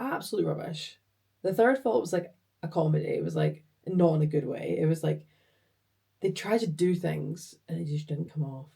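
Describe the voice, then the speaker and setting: In a Scottish accent, the voice moves at a moderate pace with long, frequent pauses. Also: woman. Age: 20s. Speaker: vlogger and project engineer. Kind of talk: casual vlog chat. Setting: home office. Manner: chatty.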